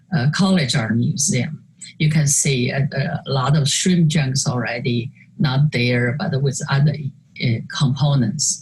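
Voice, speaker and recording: A woman with a Chinese accent speaks somewhat breathily at a very deep, low pitch and a fairly slow pace, keeping very even loudness with long, frequent pauses. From China. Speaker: artist. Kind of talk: interview conversation presenting slides. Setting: video call. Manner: halting with many fillers.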